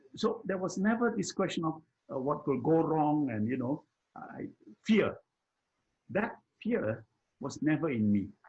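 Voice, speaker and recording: A man speaks at a fairly high pitch with very wide pitch swings. Vocal fry runs through his voice. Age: 80s+. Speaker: personal development mentor. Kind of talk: conversational discussion. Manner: halting, with repetitions.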